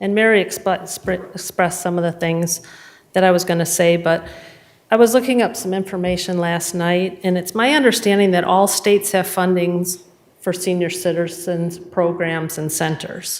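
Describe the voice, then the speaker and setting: A woman with a normal speaking voice keeps a medium pitch, a moderate pace and fairly even intonation. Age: 60s. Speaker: public commenter at township meeting. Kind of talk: public comment at board meeting.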